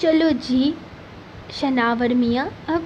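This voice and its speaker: A woman with a non-native accent speaks in a high voice over noticeable background noise. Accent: non-native Urdu. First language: Pothwari (speaking Hindi). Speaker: novel narrator, channel host. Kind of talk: reading aloud a novel.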